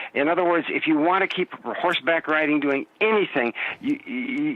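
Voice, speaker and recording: With noticeable background noise behind him, a man speaks at a fairly quick pace with lively intonation. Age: 70s. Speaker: movement and play educator. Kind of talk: interview answer.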